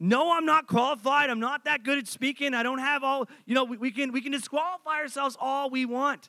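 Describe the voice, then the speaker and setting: An extremely high-pitched man's voice, raised and projected, bright and sharp in tone, animated, at a fairly quick pace with hardly any pauses, dry and close with no echo. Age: 30s. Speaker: pastor. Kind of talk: sermon. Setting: church.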